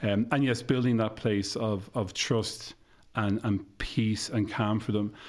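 A man's fairly slow delivery, with monotone, flat intonation and very even loudness. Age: 40s. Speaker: counsellor. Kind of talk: interview.

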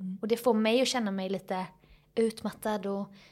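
A woman with a fairly high voice speaks with fairly even intonation. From Jönköping, Småland, Sweden. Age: 30s. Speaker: comedian and social media creator. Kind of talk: casual chat.

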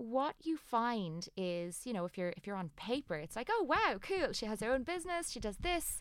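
A woman with an Irish accent speaks at a high pitch. Her pitch swings very widely in a very clean recording with a silent background. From Ireland. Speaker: aesthetic doctor and clinic owner. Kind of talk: interview.

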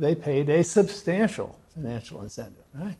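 Somewhat breathy and dark and mellow in tone, a man talks at a moderate pace with lively intonation. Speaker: audience questioner. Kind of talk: Q&A question.

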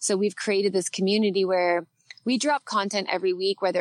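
A woman with a Canadian accent, a normal speaking voice, a medium pitch and fairly even intonation. She goes at a fairly quick pace, the sound dry and close with no echo. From Canada. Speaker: guest, parenting influencer and former TV co-host. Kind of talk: casual chat, podcast interview.

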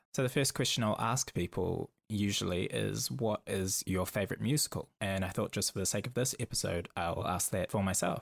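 In a very clean recording with a silent background and a dry, close sound with no echo, a man with a New Zealand accent speaks at a moderate pace in a fairly low pitch with vocal fry, ordinary pitch variation, very even loudness and hardly any pauses. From New Zealand, Auckland. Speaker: podcast host, performer. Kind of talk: solo podcast monologue.

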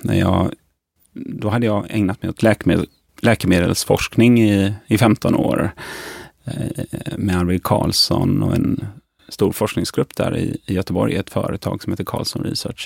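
A man speaks at a fairly slow pace in an ordinary speaking voice, fairly low in pitch with ordinary variation. The sound is dry and close, with no echo. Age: 50s. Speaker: physician and pharmacology researcher. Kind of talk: interview.

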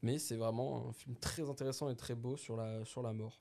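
A man's dark, mellow tone sits at a medium pitch, with fairly even intonation. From northern France, Dunkirk. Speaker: podcast co-host. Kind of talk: casual chat.

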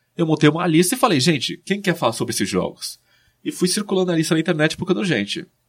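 A man talks at a very fast pace in a high pitch, his intonation lively. The recording is very clean, with a silent background. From interior of São Paulo state, Brazil. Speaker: video game researcher and author. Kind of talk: casual interview.

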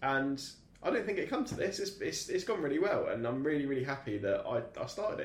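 A man talks at a very fast pace. Audible room echo surrounds his voice. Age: 30s. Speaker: podcast host. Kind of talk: casual chat. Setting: studio.

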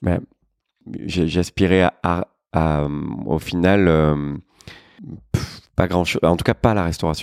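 Very slow delivery with long, frequent pauses and a dry, close sound without echo. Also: man, very deep, low pitch for a man, ordinary pitch variation. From Marseille, southern France. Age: 40s. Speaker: restaurant entrepreneur. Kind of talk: casual interview.

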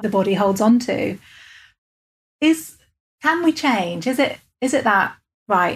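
A woman speaks with an English accent. Her voice is somewhat breathy, with lively intonation. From England. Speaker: podcast host, coach and hypnotherapist. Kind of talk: interview. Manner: calm measured cadence.

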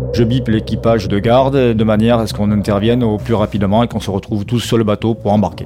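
Talking at a very fast pace with hardly any pauses, a man uses a fairly low voice and ordinary pitch variation against noticeable background noise. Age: 50s. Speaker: volunteer sea rescuer, former firefighter. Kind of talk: testimony.

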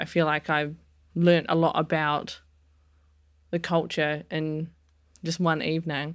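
On a very clean recording with a silent background, a woman with a New Zealand accent speaks in a very deep, low voice at a fairly slow pace. Her intonation is monotone and flat, broken by long, frequent pauses. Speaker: chef. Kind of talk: interview.

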